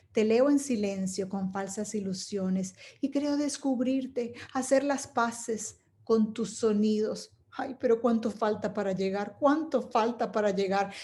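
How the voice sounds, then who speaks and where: On a very clean recording with a silent background, a woman speaks at a fairly slow pace in a fairly high pitch, somewhat breathy, with a dark, mellow tone and ordinary pitch variation. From Venezuela. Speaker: poet and storyteller. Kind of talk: poetry reading.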